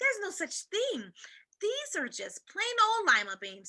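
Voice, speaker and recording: In a put-on character voice, a woman squeaks at an extremely high pitch and a moderate pace, her loudness swinging widely in a dry, close recording with no echo. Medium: read story. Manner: warm, gentle.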